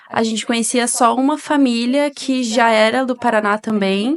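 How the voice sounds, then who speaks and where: With fairly even intonation, a woman speaks in a fairly high pitch. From Paraná, Brazil.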